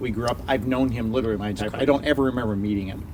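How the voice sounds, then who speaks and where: Here a man speaks with an American accent. His pitch is medium, with ordinary variation. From US, Florida. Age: 50s. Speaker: podcast guest. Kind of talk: casual chat.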